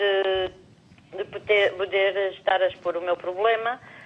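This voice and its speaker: A woman talks in a medium pitch, keeping to a fairly slow pace. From Portugal, Lisbon. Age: 60s. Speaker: TV viewer caller. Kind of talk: call-in conversation.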